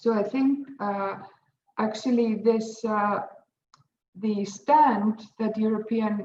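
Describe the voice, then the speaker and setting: A woman's fairly high, somewhat breathy voice, dark and mellow in tone, at a very slow pace with long, frequent pauses and fairly even intonation. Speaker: legal academic. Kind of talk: panel presentation. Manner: hesitant, many fillers.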